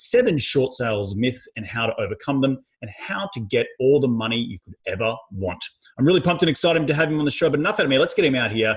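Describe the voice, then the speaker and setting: A man talks very fast at a medium pitch. His intonation is lively and his voice somewhat breathy. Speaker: podcast host.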